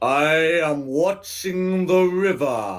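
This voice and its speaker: Against faint music in the background, a man does a put-on character voice at a fairly high pitch. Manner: forced, put on.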